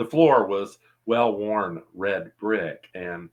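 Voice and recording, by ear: Someone reads aloud in a natural voice with lively intonation against a quiet background.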